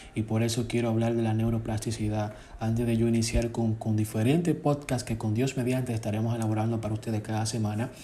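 Speaking at a very fast pace with hardly any pauses, a man uses a medium pitch, a monotone, flat intonation, a somewhat breathy quality and very even loudness. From Dominican Republic. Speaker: podcast host, self-taught IT technician. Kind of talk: solo podcast talk on neuroscience and self-help. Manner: hesitant, with fillers.

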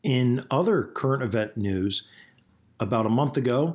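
In a very clean recording with a silent background, a man with an unremarkable speaking voice talks at a moderate pace. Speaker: podcast host. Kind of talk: solo podcast monologue, toy collecting talk.

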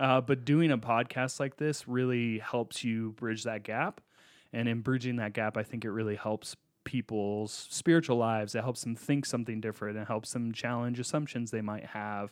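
Speaking at a moderate pace with fairly even intonation, a man uses a normal speaking voice at a medium pitch. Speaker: podcast co-host and pastor. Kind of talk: casual chat.

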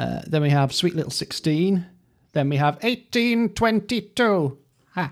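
A man with a high pitch speaks at a fairly slow pace with lively intonation. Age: 40s. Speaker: music expert co-host. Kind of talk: casual chat.

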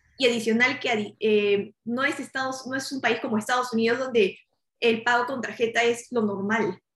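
Her pitch fairly high and her intonation fairly even, a woman with a Peruvian accent speaks at a moderate pace. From Peru, Lima. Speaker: startup founder. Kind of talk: interview.

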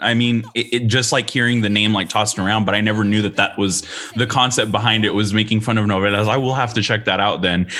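With noticeable background noise, a man with an American accent and a medium pitch talks at a very fast pace, with hardly any pauses and very even loudness. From Austin, Texas. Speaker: university admissions counselor and podcast host. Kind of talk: casual interview chat. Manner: upbeat, friendly.

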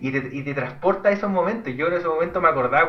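Amid noticeable background noise and audible room echo, a man with a Chilean accent speaks at a very fast pace with ordinary pitch variation. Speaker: podcast co-host. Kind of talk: casual chat.

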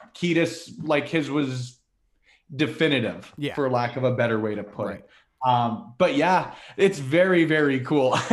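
In a room with audible echo, a man with a fairly high pitch and ordinary pitch variation speaks fairly slowly, his loudness swinging widely. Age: 20s. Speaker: wrestling media creator. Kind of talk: casual chat.

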